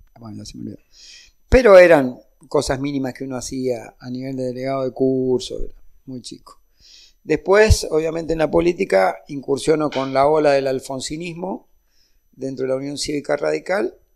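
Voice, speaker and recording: With an unremarkable speaking voice, a man talks at a moderate pace and fairly high pitch with ordinary pitch variation. His loudness swings a great deal. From Argentina, Mendoza. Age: 60s. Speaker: union leader and politician. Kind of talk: political interview.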